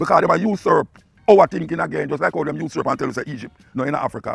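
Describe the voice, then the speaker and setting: A man with a Jamaican accent talks at a very fast pace over background music, the sound dry and close with no echo. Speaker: dub poet and radio talk-show host. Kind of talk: spoken lecture on culture and history.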